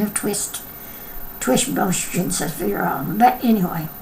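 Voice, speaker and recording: Noticeable background noise and audible room echo around a woman's fairly slow speech. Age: 70s. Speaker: vlogger. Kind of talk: casual chat. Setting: at home. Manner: animated.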